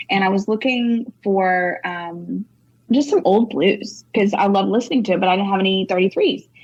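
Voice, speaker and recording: A woman with a Texan accent talks at a moderate pace. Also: medium pitch for a woman, ordinary pitch variation. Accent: Texan US Southern. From North Texas. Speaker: singer-songwriter. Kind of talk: casual interview chat. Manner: animated.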